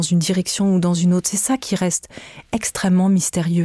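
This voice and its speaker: The sound is dry and close with no echo as a woman speaks in a medium pitch with a dark, mellow tone. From France. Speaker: podcast creator and author. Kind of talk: in-depth interview. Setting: studio. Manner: halting, frequent repetitions.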